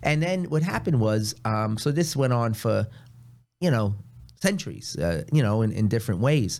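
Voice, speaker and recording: In a New York accent, a man talks at a moderate pace with very wide pitch swings and very even loudness. The recording is very clean, with a silent background. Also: medium pitch for a man. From New York City (Queens). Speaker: priest. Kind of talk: casual chat.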